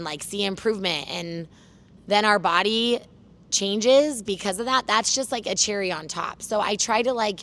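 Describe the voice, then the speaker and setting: In a very clean recording with a silent background, a woman speaks loudly at a moderate pace, her medium pitch showing ordinary variation. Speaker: fitness trainer. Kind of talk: casual interview. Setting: gym turf.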